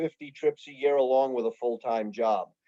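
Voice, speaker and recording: A fairly high-pitched man's voice in a New York accent, dark and mellow in tone, at a moderate pace. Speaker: fishing guide. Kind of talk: club presentation. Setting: video call. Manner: casual, conversational.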